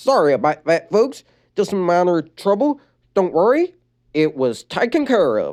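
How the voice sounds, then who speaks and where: A put-on character voice at middle pitch with very wide pitch swings, a moderate pace, and a very clean recording with a silent background. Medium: read story. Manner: polite, reassuring.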